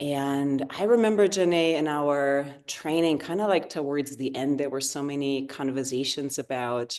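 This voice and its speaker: With a slight German accent, a woman talks in a very deep, low pitch with hardly any pauses. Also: ordinary pitch variation, moderate pace. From Germany, rural area near the Dutch border. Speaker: yoga therapist. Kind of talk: interview conversation.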